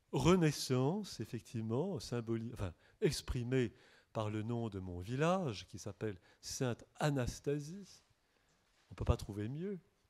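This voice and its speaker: At a fairly slow pace with long, frequent pauses, a man with a medium pitch makes very wide pitch swings. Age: 60s. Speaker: monk and author. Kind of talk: bookshop talk with audience. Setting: bookshop event with audience. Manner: halting.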